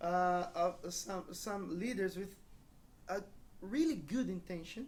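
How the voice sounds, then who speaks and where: The speech is fairly slow, with a Brazilian accent and ordinary pitch variation. Audible room echo surrounds it. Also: woman. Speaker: pastor. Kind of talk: church talk with interpreter. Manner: halting.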